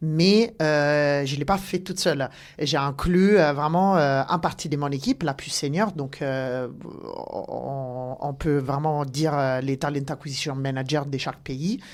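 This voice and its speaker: A woman's very deep, low voice at a very slow pace, with ordinary pitch variation, on a very clean recording with a silent background. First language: not French (speaking French). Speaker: talent acquisition director. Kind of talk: podcast interview. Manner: halting, many hesitations.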